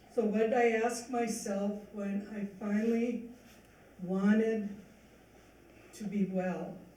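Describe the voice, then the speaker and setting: Speech at a very slow pace, broken by long, frequent pauses, with noticeable background noise. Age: 70s. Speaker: speaker sharing recovery story. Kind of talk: testimony. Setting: church event with audience.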